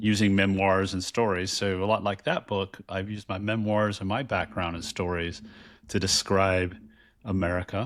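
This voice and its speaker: The talking goes at a medium speed, its intonation fairly flat and even. The background is silent and the recording very clean. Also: man. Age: 50s. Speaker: podcast co-host and author. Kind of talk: casual chat. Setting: virtual recording. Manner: loud, projecting voice.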